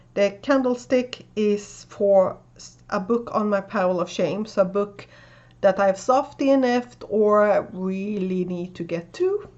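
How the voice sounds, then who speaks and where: With a Swedish accent, a woman speaks at a very slow pace and medium pitch, her loudness swinging widely while her pitch varies in an ordinary way. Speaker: booktuber. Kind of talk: casual video tutorial explaining a reading game. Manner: casual with frequent fillers.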